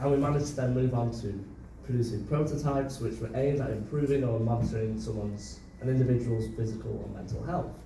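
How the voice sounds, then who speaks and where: Over noticeable background noise and audible room echo, a man with a Mancunian accent speaks at a very fast pace, his medium pitch showing ordinary variation. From northern England, Manchester. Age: 20s. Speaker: student intern presenter. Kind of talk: presentation to audience. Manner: hesitant, many fillers.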